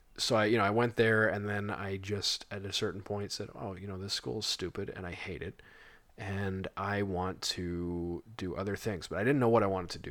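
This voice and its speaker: Using a normal speaking voice, a man talks at a moderate pace with fairly even intonation and a fairly low pitch, on a very clean recording with a silent background. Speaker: podcast co-host. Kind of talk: casual chat.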